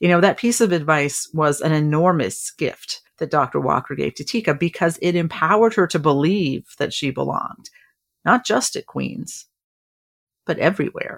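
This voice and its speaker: Using a normal speaking voice, a woman with a fairly low pitch keeps to a moderate pace. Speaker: podcast host. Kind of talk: scripted podcast narration.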